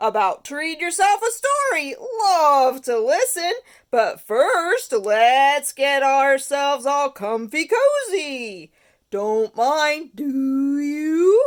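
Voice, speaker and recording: The very clean recording, with a silent background, holds a high-pitched, put-on character voice delivered at a very slow pace. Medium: read story. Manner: clipped, chirpy phrases.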